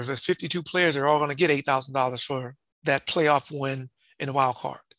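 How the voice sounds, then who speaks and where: A man in an ordinary speaking voice, at a moderate pace with ordinary pitch variation. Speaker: former football player and community leader. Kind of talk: casual interview conversation.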